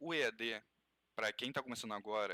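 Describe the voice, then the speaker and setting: The man's tone is bright and sharp, with fairly even intonation. He goes at a moderate pace in a dry, close sound with no echo. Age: 20s. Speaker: podcast co-host, university freshman. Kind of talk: casual discussion.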